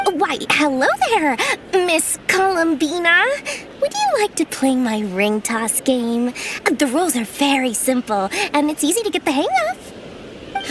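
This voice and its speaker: A put-on character voice with a high pitch speaks at a fairly slow pace. Background noise is clearly audible. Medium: short film. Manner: wheedling, flattering.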